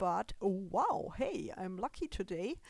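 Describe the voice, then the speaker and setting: A woman with a non-native accent, at a very slow pace. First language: German. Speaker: gaming video creator. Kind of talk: gameplay commentary. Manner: halting, with fillers.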